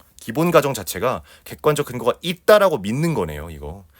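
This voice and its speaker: On a very clean recording with a silent background, a man's voice carries vocal fry. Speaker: Korean language exam tutor. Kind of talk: lecture. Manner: fast.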